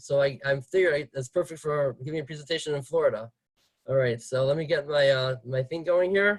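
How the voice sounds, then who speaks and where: A man speaks at a fairly quick pace, somewhat breathy. His pitch is fairly high and varies in an ordinary way. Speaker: rabbi giving a class. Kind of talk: lecture. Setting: video call. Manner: fast.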